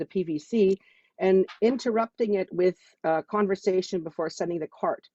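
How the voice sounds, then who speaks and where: Her voice is medium in pitch for a woman, with ordinary pitch variation. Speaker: network marketing distributor. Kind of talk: testimony. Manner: fast.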